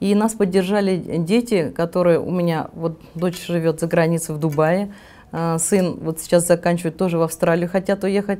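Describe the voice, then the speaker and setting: Her voice is fairly low for a woman, with a dark, mellow tone. She keeps a moderate pace and fairly even intonation. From Tatarstan, Russia (Nizhnekamsk); Tatarstan, Russia. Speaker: real estate agency owner; interviewee. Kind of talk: interview. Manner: halting. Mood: calm, warm. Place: home room. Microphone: lapel.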